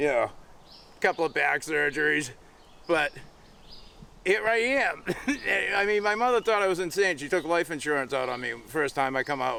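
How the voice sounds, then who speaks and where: The speaker has a Boston accent and lively intonation at a moderate pace. Long, frequent pauses break up the speech. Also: man, fairly high pitch for a man. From Massachusetts (Quincy, Boston area). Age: 60s. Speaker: hiker. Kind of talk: casual chat.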